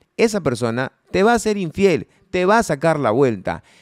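A man speaks at a moderate pace with very wide pitch swings. The sound is dry with no echo, and the background is quiet. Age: 40s. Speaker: podcast co-host. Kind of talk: casual chat. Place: studio. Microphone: studio mic.

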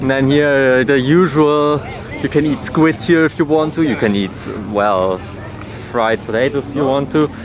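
Crowd noise fills the background while a man talks at a moderate pace. The sound is dry with no echo, and his pitch varies in an ordinary way. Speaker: tourist vlogger. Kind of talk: casual vlog chat. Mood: delighted, excited. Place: street. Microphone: phone near.

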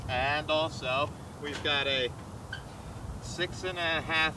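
Over noticeable background noise, a man talks with ordinary pitch variation in a dry sound with no echo. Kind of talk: casual tour commentary. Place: open country. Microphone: camera far.

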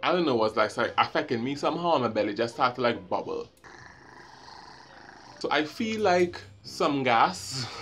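A man with a Trinidadian accent speaks at a moderate pace with lively intonation over light background noise. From Trinidad and Tobago. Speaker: vlogger. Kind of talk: storytime, casual talk to camera. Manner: humorous, animated. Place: home room. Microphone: phone near.

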